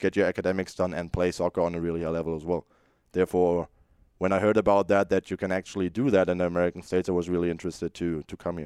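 A man with a German accent speaks at a very fast pace in a very deep, low voice with a dark, mellow tone and monotone, flat intonation. The sound is dry and close with no echo, over a quiet background. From Germany. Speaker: college soccer goalkeeper. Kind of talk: interview. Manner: halting.

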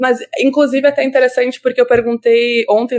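A woman with a plain, everyday voice speaks at a fairly quick pace in a fairly high pitch, her intonation fairly even, recorded dry and close with no echo. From Brazil, Rio Grande do Sul. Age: 20s. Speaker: psychology student and social media commentator. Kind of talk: interview.

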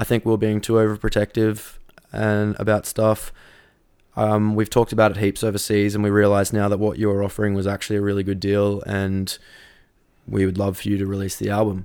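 With an Australian accent, a man speaks in a fairly low pitch and a monotone, flat intonation. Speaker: radio host and metal vocalist. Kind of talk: casual chat. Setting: in person, drinking beer.

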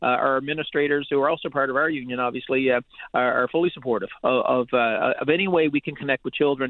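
Speaking at a very fast pace, a man keeps his fairly high pitch in fairly even intonation. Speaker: teachers' union president. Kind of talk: radio interview. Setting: phone call.

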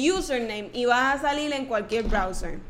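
A woman's high-pitched voice with lively intonation and a bright, sharp tone. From Puerto Rico, Trujillo Alto. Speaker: podcast co-host. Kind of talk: casual chat. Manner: laughs a lot.

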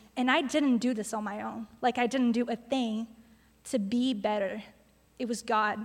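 This woman speaks with a fairly high pitch. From Brazil, Sao Paulo. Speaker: church intern. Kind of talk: testimony.

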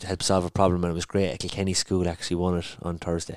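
A man with an Irish accent and a very deep, low pitch, in a dry, close sound with no echo and a very clean recording, silent background. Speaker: podcast host. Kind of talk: casual sports chat.

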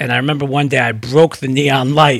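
A man with a New York accent speaks at a fairly quick pace and a fairly high pitch. The sound is dry and close, with no echo. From New York City, the Bronx. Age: 40s. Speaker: PR firm CEO. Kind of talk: interview.

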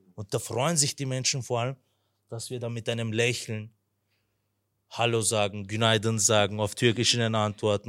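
A man with an unremarkable speaking voice talks at a moderate pace, medium pitch and ordinary pitch variation. The recording is very clean with a silent background, the sound dry and close with no echo. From Vienna, Austria (Turkish family). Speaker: church member, earthquake relief volunteer. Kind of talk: testimony.

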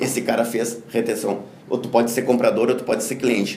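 Very fast, monotone, flat speech from a man at medium pitch, with audible room echo and noticeable background noise. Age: 50s. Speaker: business consultant and speaker. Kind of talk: interview.

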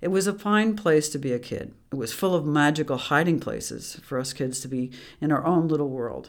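Speaking at a moderate pace with an American accent, the voice comes through on a very clean recording with a silent background. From US Midwest. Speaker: author narrating own book. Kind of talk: audiobook narration.

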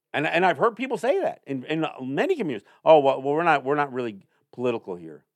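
Very fast pace, very wide pitch swings, and an American accent. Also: man, fairly high pitch for a man. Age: 60s. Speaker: Native affairs podcast host. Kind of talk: solo commentary monologue. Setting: studio. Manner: halting, with many repetitions and fillers.

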